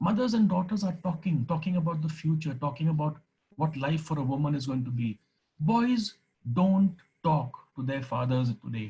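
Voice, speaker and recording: A fairly high-pitched man's voice, dark and mellow in tone, with lively intonation and a moderate pace. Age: 60s. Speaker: retired teacher and former deputy headmaster. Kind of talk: speech.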